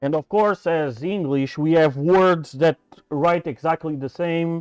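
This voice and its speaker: Over a quiet background, a man with a Portuguese accent speaks at a fairly slow pace and a fairly high pitch. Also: dry, close sound with no echo. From Portugal. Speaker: maker, CNC machining YouTuber. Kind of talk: casual livestream chat. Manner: halting, many fillers.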